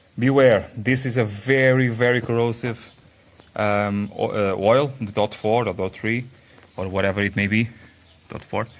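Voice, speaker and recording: A man with a non-native accent speaks at a medium pitch and moderate pace. His speech has long, frequent pauses. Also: fairly even intonation. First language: not English. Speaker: car repair youtuber. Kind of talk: tutorial. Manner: halting, many restarts.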